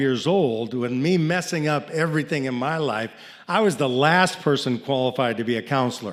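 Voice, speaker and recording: A man at a fairly high pitch with ordinary pitch variation and a moderate pace, a plain, everyday voice. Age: 60s. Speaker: storyteller, nonprofit founder. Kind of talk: live storytelling. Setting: stage with audience.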